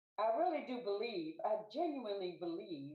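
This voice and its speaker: A woman with a fairly high pitch speaks at a fairly slow pace with lively intonation, with audible room echo. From New York City. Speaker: club member giving impromptu speech. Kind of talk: impromptu speech.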